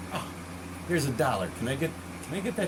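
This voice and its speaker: An animated man with an American accent, with noticeable background noise and audible room echo. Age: 60s. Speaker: consumer warning vlogger. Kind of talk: casual monologue. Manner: halting, repetitive.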